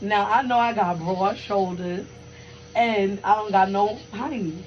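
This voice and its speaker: Music plays behind a woman speaking at a fairly high pitch. Her tone is animated and her pace fairly slow. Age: 20s. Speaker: podcast co-host. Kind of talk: casual chat.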